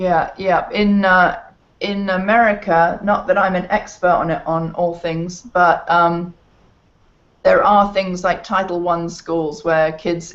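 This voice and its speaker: The speaker has an English accent. The pace is fairly slow. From England. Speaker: education project co-founder. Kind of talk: video call chat. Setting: video call.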